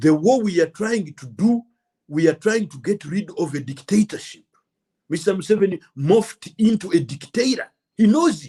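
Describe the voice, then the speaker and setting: With a Ugandan accent, a man speaks at a moderate pace. His voice is high, with lively intonation. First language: Luganda. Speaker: political commentator. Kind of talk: political monologue. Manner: impassioned.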